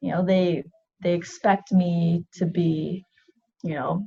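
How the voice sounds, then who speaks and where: Speaking at a fairly slow pace in a Canadian accent, a woman has a dark, mellow tone, a fairly low pitch and a somewhat breathy quality. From Vancouver, Canada. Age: 30s. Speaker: athlete and navy reservist. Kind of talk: interview.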